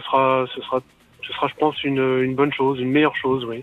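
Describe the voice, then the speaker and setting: This is a man speaking. His pitch is fairly high. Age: 50s. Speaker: caller. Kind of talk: radio call-in. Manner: halting.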